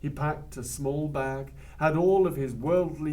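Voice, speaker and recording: A man talks at a fairly slow pace in a somewhat breathy, dark, mellow tone with ordinary pitch variation. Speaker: storyteller. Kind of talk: traditional oral storytelling.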